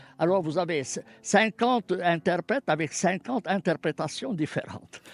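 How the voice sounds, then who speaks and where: A man talks at a moderate pace. His pitch is high and his intonation lively. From Palestine. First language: Arabic (speaking French). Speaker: scholar of Islamic texts. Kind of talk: radio interview.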